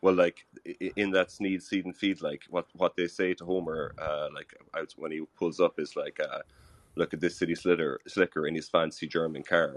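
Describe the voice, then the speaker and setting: With an Irish accent, a man speaks in a very deep, low pitch at a moderate pace, his intonation monotone and flat, in a dry, close sound with no echo. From Republic of Ireland. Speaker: caller. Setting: phone call.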